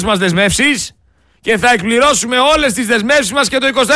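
With a raised, projected voice, a man speaks at a moderate pace in an extremely high pitch, with ordinary pitch variation and an animated, bright, sharp tone. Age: young. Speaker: radio host. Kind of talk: radio commentary. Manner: loud.

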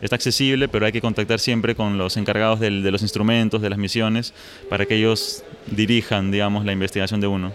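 Against noticeable background noise, a man talks very fast in a fairly low, monotone, flat voice. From Peru. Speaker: space physics researcher. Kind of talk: interview. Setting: conference. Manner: halting.

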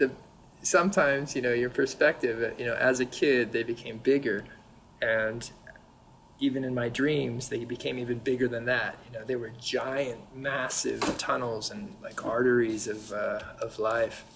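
A man has an ordinary speaking voice at a medium pitch with an American accent. He keeps a moderate pace and ordinary pitch variation. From California, US. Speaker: painter. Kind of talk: casual chat.

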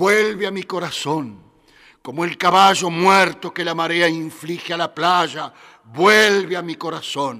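This man has a high-pitched voice. His tone is bright and sharp. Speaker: radio host. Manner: animated.

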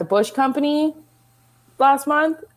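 A woman is speaking. Her pace is moderate. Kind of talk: casual chat.

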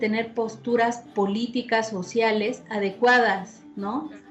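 Over noticeable background noise, a woman talks fairly slowly at a fairly high pitch. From Puebla, Mexico. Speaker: musician and fandango dancer. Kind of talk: casual interview. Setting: video call.

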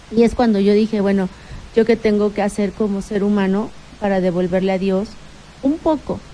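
A woman talks fairly quickly, her medium-pitched voice keeping fairly even intonation. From Mexico, Puebla (Tecamachalco). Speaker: local politician. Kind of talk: radio interview. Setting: radio studio.

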